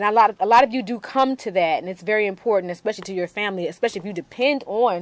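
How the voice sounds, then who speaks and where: A woman speaks at a fairly quick pace with lively intonation. Her voice is fairly high, with noticeable background noise. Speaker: TV talk show host. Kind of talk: TV interview show, announcements.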